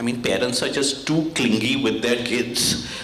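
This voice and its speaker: Heard at a moderate pace, a man speaks over noticeable background noise, with audible room echo. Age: 60s. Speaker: school principal and former teacher. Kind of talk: reunion talk to former students. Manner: halting, many repetitions.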